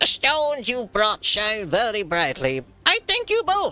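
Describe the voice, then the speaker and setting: A put-on character voice performs while faint music sits in the background. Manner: squawking, chirpy.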